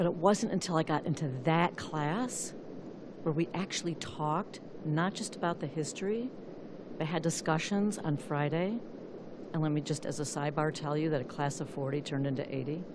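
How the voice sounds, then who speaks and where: A woman with an American accent and a very deep, low pitch speaks at a moderate pace with ordinary pitch variation, over noticeable background noise and audible room echo. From US Midwest, Flint, Michigan. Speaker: activist, public commenter. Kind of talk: public comment at council meeting. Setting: city council meeting. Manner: halting.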